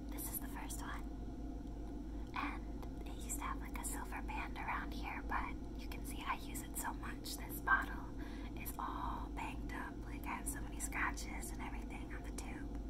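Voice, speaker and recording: Over loud background noise, the voice holds a moderate pace with monotone, flat intonation. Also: woman, very deep, low pitch for a woman. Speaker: ASMR creator. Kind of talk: ASMR makeup showcase talking to camera. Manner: soft, whispery, relaxed. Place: home room. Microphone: phone near.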